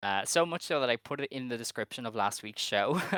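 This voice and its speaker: Bright and sharp in tone, a man speaks at a moderate pace. The recording is very clean, dry and close, with a silent background and no echo. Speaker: wrestling podcast co-host. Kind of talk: casual chat. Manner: animated.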